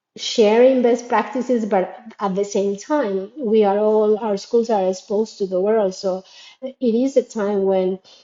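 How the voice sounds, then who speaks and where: A Spanish accent at a fairly slow pace, with fairly even intonation. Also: woman, fairly high pitch for a woman. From Latin America. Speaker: educator in international schools. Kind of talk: reflective monologue. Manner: halting, with fillers and repetitions.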